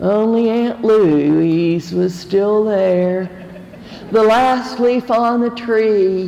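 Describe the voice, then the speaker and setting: A woman with an Appalachian accent speaks very slowly at a medium pitch, with ordinary pitch variation. Her loudness stays very even, and noticeable background noise runs beneath her. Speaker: storyteller. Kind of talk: live storytelling performance. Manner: humorous, well-timed.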